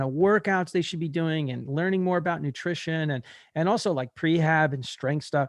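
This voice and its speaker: A plain, everyday voice with ordinary pitch variation at a moderate pace over a quiet background. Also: man. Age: 60s. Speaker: podcast host, marathon runner. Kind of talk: casual interview chat.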